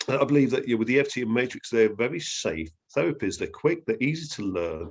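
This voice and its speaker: A man with an English accent at a fairly quick pace against a quiet background. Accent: English accent, noticeable. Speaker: therapy trainer. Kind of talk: interview. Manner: hesitant, many fillers.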